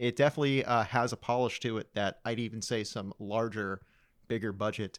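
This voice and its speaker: A man's medium-pitched, ordinary speaking voice at a fairly quick pace with fairly even intonation, dry and close with no echo, in a very clean recording with a silent background. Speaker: podcast guest, amateur filmmaker. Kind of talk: casual chat.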